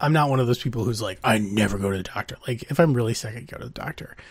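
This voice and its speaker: A man talks at a very fast pace in a medium-pitched, somewhat breathy voice. His pitch varies in an ordinary way. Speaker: podcast co-host. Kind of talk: casual chat. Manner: casual, many fillers.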